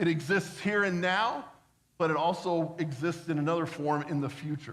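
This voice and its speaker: This man's high-pitched voice shifts in an ordinary way, with audible room echo around it. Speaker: pastor. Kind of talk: sermon. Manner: fast.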